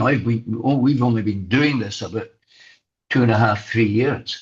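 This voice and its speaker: Somewhat breathy, a man talks at a medium pitch. His pace is moderate and his intonation fairly even. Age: 70s. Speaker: former journalist and broadcaster, boxing coach. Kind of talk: interview. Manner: halting, many repeated words.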